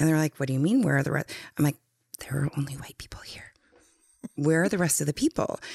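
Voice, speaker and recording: A woman with an American accent and a very deep, low pitch talks at a very fast pace with long, frequent pauses and ordinary pitch variation, in a dry, close sound with no echo. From North Dakota, US. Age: 30s. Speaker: guest, educator and advocate. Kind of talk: casual interview, personal storytelling.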